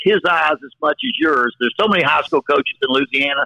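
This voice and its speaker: A man talks at a moderate pace. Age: 60s. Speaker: college football head coach. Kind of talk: podcast interview. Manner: repetitive, halting restarts.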